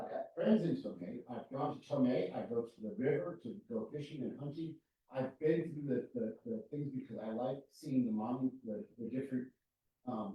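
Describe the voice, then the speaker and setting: A man speaks at a moderate pace and medium pitch. His voice is somewhat breathy. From New Mexico, Valencia County. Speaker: planning commissioner. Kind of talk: public meeting discussion. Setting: county planning meeting.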